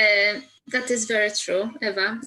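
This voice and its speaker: A woman with a Polish accent, fairly high in pitch, with fairly even intonation at a moderate pace. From Poland. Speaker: career coach. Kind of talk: testimony. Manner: halting.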